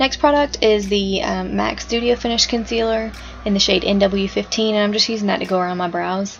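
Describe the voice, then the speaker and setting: A woman with a Southern US accent, medium-pitched, at a fairly quick pace with fairly even intonation, over noticeable background noise. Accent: American country. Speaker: makeup enthusiast. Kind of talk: makeup tutorial voice-over. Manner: casual, chatty.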